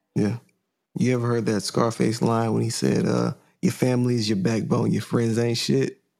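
This man has an unremarkable speaking voice, medium in pitch with ordinary variation, delivered at a moderate pace and a very even loudness. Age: 30s. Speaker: podcast host and painter. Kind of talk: casual chat.

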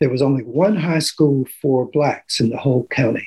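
A man speaks with a somewhat breathy voice. His intonation stays fairly even. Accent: American. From Maryland, US. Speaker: retired fisheries scientist. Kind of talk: interview.

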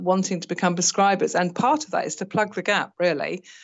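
A woman with an unremarkable speaking voice talks at a moderate pace, her pitch fairly low and her intonation fairly even. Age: 50s. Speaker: retired nurse turned teacher, estranged mother. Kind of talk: personal testimony interview.

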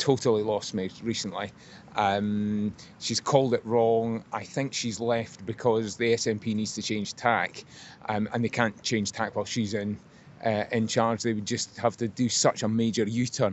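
A man's medium-pitched, monotone voice with flat intonation at a moderate pace. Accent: Scottish. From Scotland. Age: 80s+. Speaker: member of the public. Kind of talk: street interview. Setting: outdoors.

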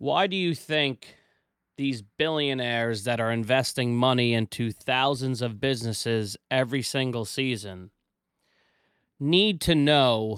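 A man's plain, everyday voice at a medium pitch, fairly slow in pace with ordinary pitch variation, in a very clean recording with a silent background. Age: 30s. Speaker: business owner and podcast host. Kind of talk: casual chat.

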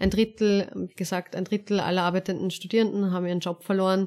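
A woman speaks at a very fast pace in a monotone, flat intonation, recorded very cleanly against a silent background. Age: 20s. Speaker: student politician. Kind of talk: interview.

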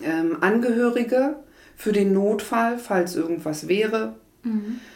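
Room echo is audible. A woman speaks at a very slow pace. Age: 40s. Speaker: hospital admissions clerk, former nurse. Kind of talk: interview.

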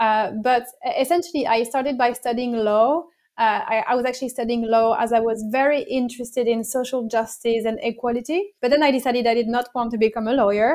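High-pitched woman with a French accent, fairly quick pace and fairly even intonation. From France. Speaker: diversity and inclusion consultant. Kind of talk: interview.

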